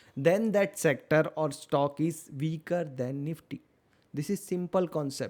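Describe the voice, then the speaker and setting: Fairly high-pitched man with an Indian accent, dark and mellow in tone, fairly even intonation at a fairly slow pace. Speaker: stock market educator. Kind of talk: tutorial. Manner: slow, deliberate.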